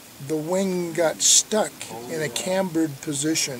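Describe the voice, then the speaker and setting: Noticeable background noise sits behind a man whose voice has a dry sound with no echo. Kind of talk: interview answer. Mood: relaxed, amused. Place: open country.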